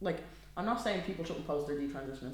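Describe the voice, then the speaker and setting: In a Dublin accent, a man speaks with ordinary pitch variation, and audible room echo can be heard. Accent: Dublin Irish. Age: 20s. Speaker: podcast co-host. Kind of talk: casual chat.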